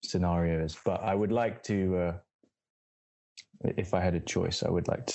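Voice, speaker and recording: A London accent at a moderate pace, with fairly even intonation. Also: man. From Southeast London, England. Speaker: musician and visual artist. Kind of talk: interview. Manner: halting, many fillers and repeats.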